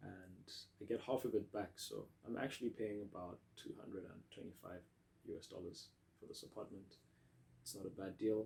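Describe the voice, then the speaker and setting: A man's voice comes across as somewhat breathy. He speaks at a moderate speed. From South Africa. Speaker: vlogger, English teaching program participant. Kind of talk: casual vlog monologue. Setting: at home in own apartment. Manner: hesitant with repetitions.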